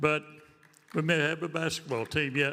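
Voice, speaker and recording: Over noticeable background noise, a man speaks with a fairly high pitch. His pitch varies in an ordinary way. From Oklahoma. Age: 80s+. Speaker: retired rodeo cowboy. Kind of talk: acceptance speech. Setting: stage with audience. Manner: halting.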